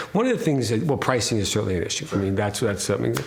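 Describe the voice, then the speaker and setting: A man's voice with very wide pitch swings, amid noticeable background noise and audible room echo. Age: 60s. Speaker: winery owner. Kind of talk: interview. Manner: halting, many repeated words.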